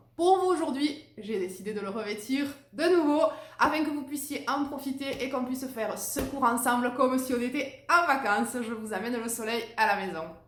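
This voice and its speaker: Against noticeable background noise and audible room echo, a woman speaks at a high pitch with lively intonation. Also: moderate pace. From southern France, Narbonne. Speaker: Pilates instructor. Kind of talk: casual introduction to viewers; guided exercise class instruction. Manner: rhythmic counting, paced with breathing.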